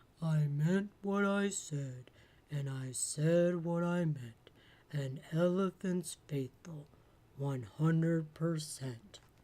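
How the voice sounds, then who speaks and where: A put-on character voice at a middle pitch drawls out its lines at a very slow pace. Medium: read story. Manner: earnest, steadfast.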